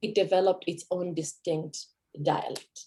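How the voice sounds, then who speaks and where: Speaking with a Kenyan accent, a woman sounds somewhat breathy, with medium pitch and a moderate pace. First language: Kikuyu. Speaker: language teacher. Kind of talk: presentation.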